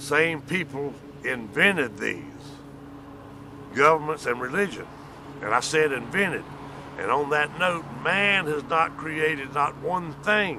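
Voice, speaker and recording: A man's fairly high voice at a fairly slow pace, with ordinary pitch variation, long, frequent pauses and noticeable background noise. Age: 60s. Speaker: vlogger. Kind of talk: casual monologue. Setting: outdoors.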